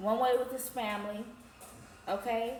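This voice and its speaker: A fairly high-pitched woman's voice with audible room echo. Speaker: tarot reader. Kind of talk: tarot reading. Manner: animated.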